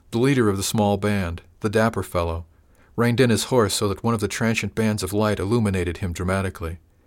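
The voice is a natural reading one. Pitch shifts by ordinary amounts.

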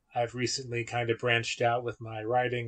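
A man with an American accent speaks at a medium pitch, somewhat breathy, in a monotone, flat delivery. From US, West Virginia. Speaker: comics blogger and writer. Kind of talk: casual chat.

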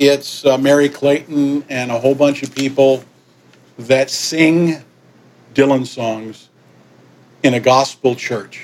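Noticeable background noise sits behind a man with a medium pitch. He talks at a very slow pace with long, frequent pauses. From New York (Yonkers), partly raised in Caribbean. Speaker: musician. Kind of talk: interview.

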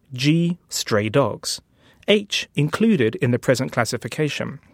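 A man with a British accent talks at a fairly slow pace in a fairly high pitch. His intonation is lively and his loudness very even. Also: very clean recording, silent background. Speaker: author and designer. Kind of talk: interview.

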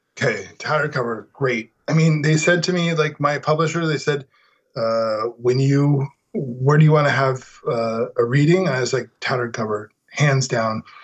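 At a moderate pace, a man speaks in a fairly high, somewhat breathy voice with ordinary pitch variation. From Denver, Colorado. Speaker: novelist and writing teacher. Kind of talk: casual chat. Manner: animated.

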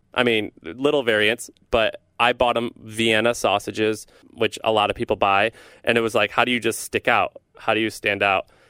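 A dry, close sound with no echo carries a bright, sharp tone that stays monotone and flat at a moderate pace, with a very clean recording and a silent background. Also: man, medium pitch for a man. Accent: American. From US Midwest, St. Louis, Missouri. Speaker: entrepreneur, newsletter founder. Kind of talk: casual interview.

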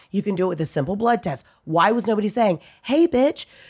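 Noticeable background noise runs under the recording. A woman with an American accent speaks at a very fast pace. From US South, Atlanta. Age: 30s. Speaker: comedian. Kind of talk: casual chat.

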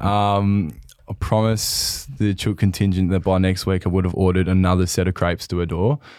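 A man with an Australian accent and a very deep, low pitch speaks at a fairly quick pace with fairly even intonation on a very clean recording with a silent background. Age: 20s. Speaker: footballer and podcast co-host. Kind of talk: casual chat. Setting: studio.

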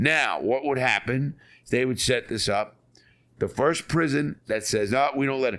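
Vocal fry runs through the speech of a man with a New York accent. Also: very clean recording, silent background. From New York City (Bronx). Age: 60s. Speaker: ex-convict author. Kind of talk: interview storytelling.

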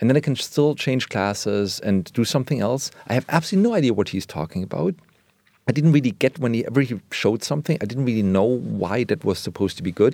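With a German accent, a man talks at a very fast pace in a dark, mellow tone at medium pitch with lively intonation, recorded dry and close with no echo. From West Germany. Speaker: illustrator. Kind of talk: interview conversation. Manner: halting.

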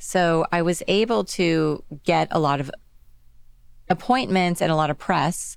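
A woman's fairly low voice at a fairly slow pace with ordinary pitch variation, a plain, everyday voice. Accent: American. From Texas (Dallas). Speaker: accessories designer and brand founder. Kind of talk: interview. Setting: studio.

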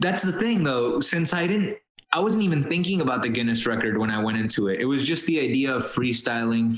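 With a Spanish accent, a man speaks at medium pitch with lively intonation. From Colombia, raised in Miami from age seven. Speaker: rapper and musician. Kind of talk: casual interview chat.

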